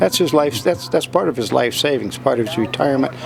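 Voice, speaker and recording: Music plays in the background as a man with an American accent talks with ordinary pitch variation. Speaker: auctioneer, second- or third-generation. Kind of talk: interview answer, conversational. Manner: plain-spoken, sad, weary.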